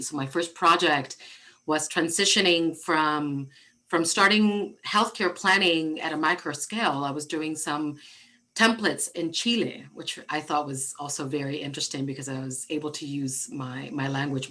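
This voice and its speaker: A woman speaks with a Spanish accent at a very deep, low pitch. Her tone is bright and sharp, with ordinary pitch variation. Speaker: architect and diversity director. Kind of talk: interview. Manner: halting, frequent repetitions.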